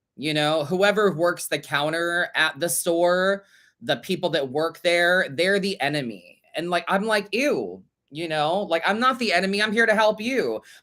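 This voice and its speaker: The speaker sounds animated at a fairly slow pace, on a very clean recording with a silent background. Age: 30s. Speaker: tarot reader and podcast host. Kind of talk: casual livestream podcast chat. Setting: livestream.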